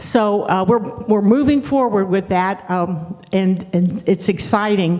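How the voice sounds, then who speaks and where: Noticeable background noise surrounds a woman's voice. She speaks at medium pitch with ordinary pitch variation. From Ohio, Dayton. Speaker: pastor. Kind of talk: sermon.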